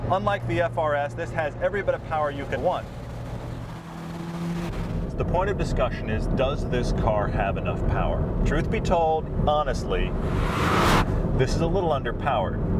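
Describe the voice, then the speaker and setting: A man speaks at a moderate pace with long, frequent pauses. The sound is dry with no echo, set against loud background noise. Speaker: car reviewer driving. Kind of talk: commentary. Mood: enthusiastic, thoughtful. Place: car.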